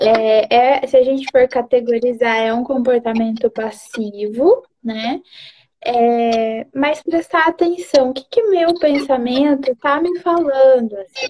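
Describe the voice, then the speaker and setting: In a high voice with a dark, mellow tone, a woman speaks very slowly with ordinary pitch variation, the sound dry and close with no echo. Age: 20s. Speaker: psychologist. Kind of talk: casual chat. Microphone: bad internet connection.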